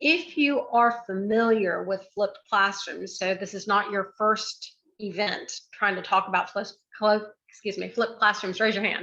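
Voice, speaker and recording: Speaking at a fairly slow pace, a woman has a bright, sharp tone. Her pitch is fairly high, with ordinary variation. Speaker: educator and speaker. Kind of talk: presentation to audience. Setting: video call. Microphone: close to the computer.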